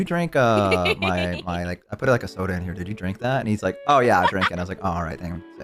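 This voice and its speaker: A man speaks very fast with hardly any pauses, his voice very deep and low with ordinary pitch variation, over music in the background. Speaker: VTuber streamer. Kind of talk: casual conversation among streamers.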